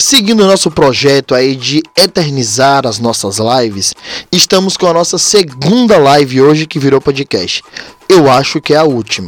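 Lively intonation at a moderate pace, with a dry, close sound with no echo and noticeable background noise. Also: man, fairly high pitch for a man. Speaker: podcast host, umbanda practitioner. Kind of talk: casual religious talk.

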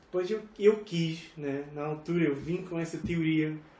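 There is audible room echo as a man speaks at a high pitch with ordinary pitch variation. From Portugal, Algarve (Estoi, near Faro). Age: 30s. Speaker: tour manager and former hardcore musician. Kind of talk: casual chat.

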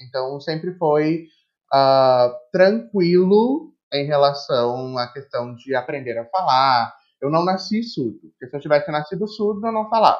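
With lively intonation, a man talks at a fairly slow pace in a normal speaking voice, his pitch fairly high. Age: 20s. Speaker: English teacher and language school coordinator. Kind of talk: casual interview.

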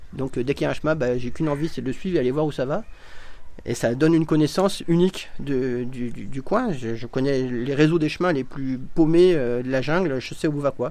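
Fairly quick and fairly high-pitched, a man talks in a dark, mellow tone with ordinary pitch variation. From eastern France (Ain). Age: 40s. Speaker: jungle adventure guide. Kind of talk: interview. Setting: at his home.

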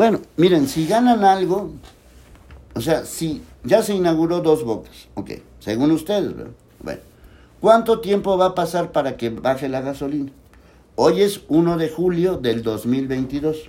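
A man speaks at a fairly slow pace with long, frequent pauses. His voice is fairly high, with a dark, mellow tone and lively intonation. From Mexico. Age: 60s. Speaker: political commentary livestream host. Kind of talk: live solo commentary reading viewer comments. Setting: livestream on social media. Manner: casual, repetitive.

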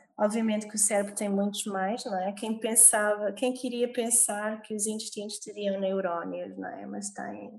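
A somewhat breathy woman at a moderate pace, her intonation fairly even. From Portugal, Algarve (Olhão). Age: 30s. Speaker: yoga teacher. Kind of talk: interview.

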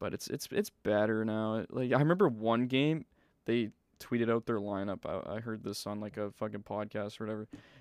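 With a Canadian accent and an unremarkable speaking voice, a man of fairly low pitch talks at a fairly quick pace with ordinary pitch variation, in a dry, close sound with no echo. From British Columbia, Canada. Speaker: podcast host. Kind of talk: casual chat.

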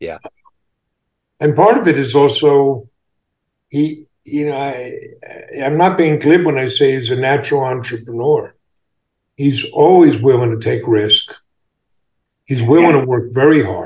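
With an American accent, a man speaks at a fairly high pitch and fairly slow pace, somewhat breathy, with ordinary pitch variation and long, frequent pauses. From US Northeast, Long Island. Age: 60s. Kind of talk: interview. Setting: video call.

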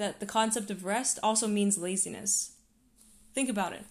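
A woman has an ordinary speaking voice. Her pitch is fairly high, her intonation fairly even, and her pace moderate. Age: 20s. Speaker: podcast host. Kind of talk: solo podcast monologue.

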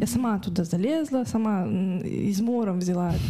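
A woman's voice, somewhat breathy, carries lively intonation. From Kazakhstan, Karaganda. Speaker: artist and illustrator. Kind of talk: interview. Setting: studio.

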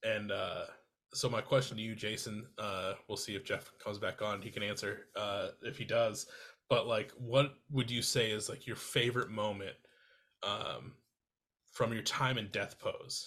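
A man speaks at a fairly slow pace with an American accent. The recording is very clean, and the background is silent. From Iowa. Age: 30s. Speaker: podcast host. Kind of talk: casual chat.

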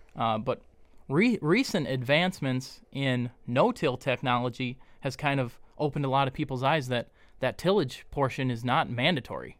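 On a very clean recording with a silent background, a man with an unremarkable speaking voice speaks at a moderate pace, with a medium pitch and ordinary pitch variation. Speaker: deer biologist. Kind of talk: casual interview.

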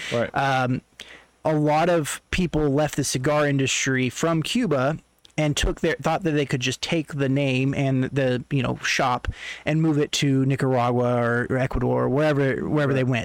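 A man with an American accent speaks at a moderate pace in an ordinary speaking voice. His pitch is fairly high, with fairly even intonation and very even loudness. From Oklahoma, Tulsa. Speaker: podcast guest. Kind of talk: casual chat.

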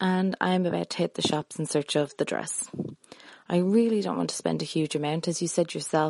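Recorded dry and close with no echo against a quiet background, a woman talks at a fairly quick pace in a fairly low, dark, mellow voice with fairly even intonation. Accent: Irish. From Ireland (Dublin). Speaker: engaged bride-to-be, listener. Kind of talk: recorded voice message question.

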